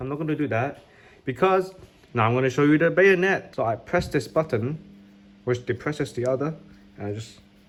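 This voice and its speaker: A man at medium pitch talks at a fairly quick pace, with very wide pitch swings and long, frequent pauses. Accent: Cantonese. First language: Cantonese. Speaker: YouTuber showing cardboard model guns. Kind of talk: tutorial-style show and tell. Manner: casual, slangy.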